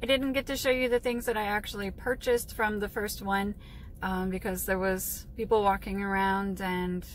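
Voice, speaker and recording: At a moderate pace, a woman speaks with ordinary pitch variation, the sound dry with no echo and light background noise behind her. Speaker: reseller vlogger. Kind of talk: casual vlog chat. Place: car. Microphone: phone near.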